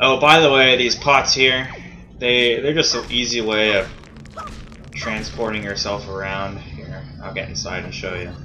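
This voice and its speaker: A man of medium pitch speaks with lively intonation amid noticeable background noise and audible room echo. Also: fairly slow pace. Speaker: let's play gamer. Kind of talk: gameplay commentary. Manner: casual, self-correcting.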